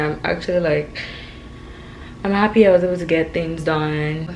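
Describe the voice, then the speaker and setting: A woman with a normal speaking voice talks at a moderate pace. Her intonation is fairly even over light background noise. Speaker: vlogger. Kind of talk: casual vlog chat. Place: kitchen. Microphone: phone near.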